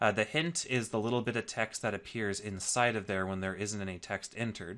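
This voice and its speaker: In a bright, sharp tone, a man speaks at a fairly quick pace with a medium pitch and ordinary pitch variation. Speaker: programming instructor. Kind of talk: tutorial. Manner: casual, with filler words.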